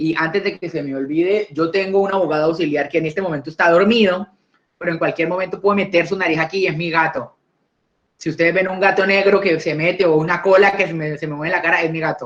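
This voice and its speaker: Talking very fast, a man with a high voice keeps his intonation fairly even. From Colombia. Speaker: lawyer, intellectual property lecturer. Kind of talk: online talk / conversational lecture. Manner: hesitant, frequent fillers and repetitions.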